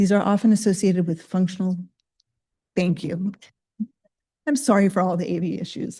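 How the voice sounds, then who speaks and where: A woman's somewhat breathy voice, medium in pitch with ordinary pitch variation, dark and mellow in tone, at a fairly quick pace broken by long, frequent pauses. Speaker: pediatrician and researcher. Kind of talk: lecture. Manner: halting, many fillers.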